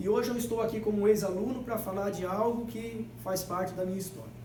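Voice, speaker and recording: There is audible room echo and noticeable background noise. A man with a high voice talks at a moderate pace. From Brazilian Northeast. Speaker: agroecologist workshop instructor. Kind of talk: workshop talk. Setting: library event with live audience. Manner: emphatic, repeats key words.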